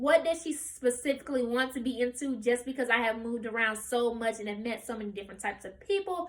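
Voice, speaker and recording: A woman speaks at a moderate pace with a high pitch. Her intonation is lively, and there is noticeable background noise. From US South, Memphis, Tennessee. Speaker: college student. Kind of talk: practice speech.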